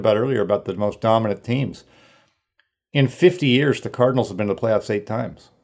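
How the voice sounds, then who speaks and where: A man with a West Coast American accent at medium pitch and ordinary pitch variation, talking at a very fast pace in a very clean recording with a silent background. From Northern California. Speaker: sports writer. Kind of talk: casual interview.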